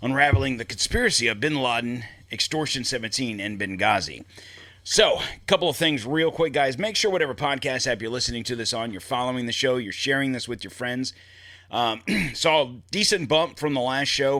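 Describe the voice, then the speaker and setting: A loud man's voice, bright and sharp in tone, with lively intonation at a fairly quick pace. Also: medium pitch for a man. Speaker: podcast host. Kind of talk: solo podcast monologue.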